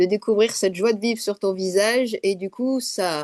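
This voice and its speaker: A woman has an ordinary speaking voice, fairly high in pitch with ordinary pitch variation, at a moderate pace. The sound is dry and close, with no echo. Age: 60s. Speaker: course participant. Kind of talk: testimony.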